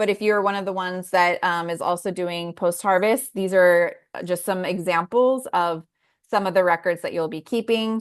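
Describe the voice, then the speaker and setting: In an ordinary speaking voice, a woman talks at a moderate pace and medium pitch with fairly even intonation, against a quiet background. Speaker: farm food-safety instructor. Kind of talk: online class tutorial.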